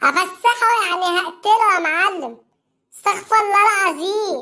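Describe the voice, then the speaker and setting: A woman uses a cartoonish character voice, squeaky and extremely high in pitch. She talks at a fairly slow pace. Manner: exasperated.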